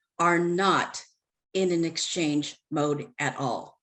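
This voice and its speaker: A woman has an unremarkable speaking voice, fairly low in pitch with fairly even intonation. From United States. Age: 60s. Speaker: panel moderator. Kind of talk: panel discussion.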